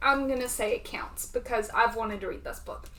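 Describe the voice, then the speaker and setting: A woman with a Southern US accent speaks amid audible room echo. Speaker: booktuber. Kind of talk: casual reading vlog.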